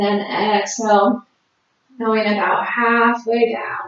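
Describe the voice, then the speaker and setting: In a room with audible echo, a woman speaks very slowly in a flat monotone. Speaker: fitness instructor. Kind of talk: exercise class cueing. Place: home room. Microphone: camera far.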